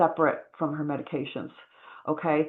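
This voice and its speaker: A woman speaks in an animated tone. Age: 60s. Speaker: wellness products seller. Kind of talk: sales pitch. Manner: fast.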